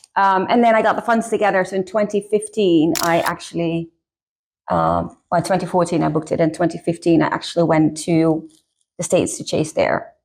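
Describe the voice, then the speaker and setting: A woman's fairly low voice with a Dutch accent and vocal fry, at a fairly quick pace with fairly even intonation and very even loudness. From Netherlands. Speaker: author. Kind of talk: casual interview. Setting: makeup session on camera.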